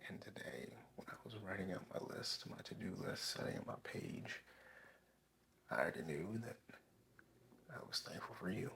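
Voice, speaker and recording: A man whispers at a moderate pace, with long, frequent pauses. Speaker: ASMR creator. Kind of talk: ASMR relaxation talk to camera.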